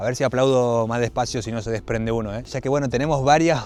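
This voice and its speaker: A man talks in an animated tone. He has an Argentine accent. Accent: Rioplatense Argentine Spanish. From Argentina. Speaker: travel vlogger. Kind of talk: travel vlog narration. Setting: outdoors. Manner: quiet speech.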